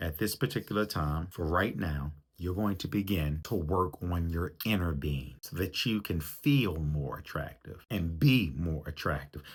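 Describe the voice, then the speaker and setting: The recording is very clean, with a silent background, as a man speaks at a very deep, low pitch in a somewhat breathy voice. His pace is fairly slow with hardly any pauses, and his pitch varies in an ordinary way. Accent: American. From US, Baltimore, Maryland. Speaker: relationship coach. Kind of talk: motivational talk.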